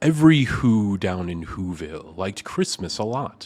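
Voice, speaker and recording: Put-on character voice from a man, moderate in pace and fairly low in pitch. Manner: put-on storyteller cadence.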